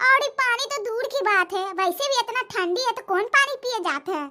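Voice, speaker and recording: In a cartoonish character voice, a woman speaks with an extremely high pitch. Her intonation is lively and her pace moderate. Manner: loud, dramatic.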